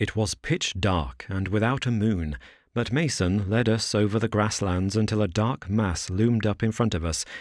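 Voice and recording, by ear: A natural voice, reading aloud.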